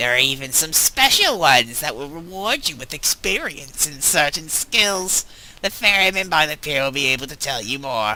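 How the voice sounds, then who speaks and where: Putting on a character voice, a man speaks at a moderate pace with a fairly high pitch. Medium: game stream. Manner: wry, mildly condescending.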